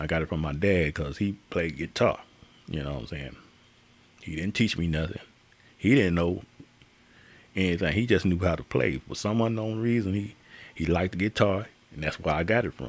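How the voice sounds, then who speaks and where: A man with a very deep, low pitch and vocal fry speaks at a moderate pace, leaving long, frequent pauses. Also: lively intonation. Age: 60s. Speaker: guitarist live streamer. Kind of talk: live stream chat. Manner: casual, halting with fillers.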